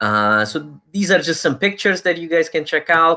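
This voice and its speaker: In a very clean recording with a silent background, a man speaks in a bright, sharp tone with lively intonation. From Romania. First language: Romanian. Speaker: university recruiter. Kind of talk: presentation. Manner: casual, filler-heavy.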